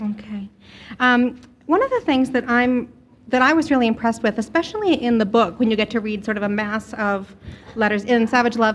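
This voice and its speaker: A woman with a normal speaking voice talks at a fairly quick pace, her pitch fairly high with ordinary pitch variation. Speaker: radio show host interviewer. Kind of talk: casual radio interviewing.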